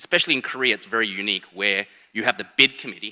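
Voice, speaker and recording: A man speaks at a very fast pace in a bright, sharp tone with a slight Australian accent, his sound dry and close with no echo. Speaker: sports foundation education head. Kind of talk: conference presentation. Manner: casual, hesitant with fillers.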